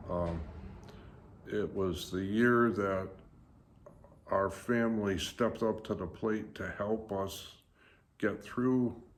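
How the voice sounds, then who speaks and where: The recording has audible room echo as a man speaks very slowly. His voice is fairly low, with fairly even intonation. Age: 70s. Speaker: YouTuber. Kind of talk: casual vlog monologue. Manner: hesitant with many fillers.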